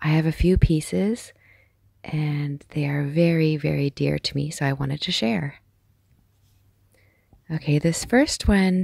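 Against a quiet background, a soft-spoken woman talks in a calm, dark, mellow tone at a very deep, low pitch. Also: dry sound with no echo. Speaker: amateur artist. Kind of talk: ASMR art collection tour. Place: home room. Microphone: phone near.

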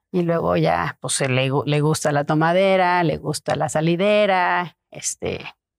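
A woman with a very deep, low pitch speaks at a very slow pace and very even loudness against a quiet background. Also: ordinary pitch variation. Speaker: art collector; interview guest. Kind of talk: casual interview chat; interview answer. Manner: halting, many repetitions. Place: home room. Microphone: lapel.

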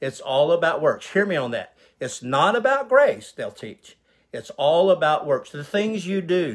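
Big pitch swings and a fairly bright tone, delivered at a fairly slow pace. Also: man.

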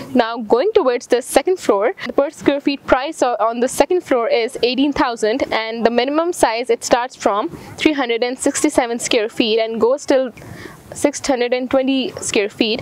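A woman speaks very slowly at a high pitch with ordinary pitch variation, the sound dry with no echo. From Pakistan. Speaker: real estate presenter; presenter. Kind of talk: promotional property presentation. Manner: hesitant with frequent fillers.

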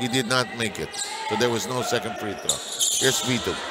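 A man at a fairly quick pace, with noticeable background noise behind him. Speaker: play-by-play commentator. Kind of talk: live sports commentary.

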